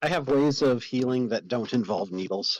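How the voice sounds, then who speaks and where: A man uses a put-on character voice at a medium pitch. His pitch variation is ordinary and his pace moderate. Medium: actual play.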